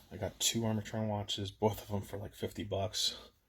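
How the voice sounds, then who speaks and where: A man's voice at a moderate pace. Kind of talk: casual talk to camera. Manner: relaxed, hesitant.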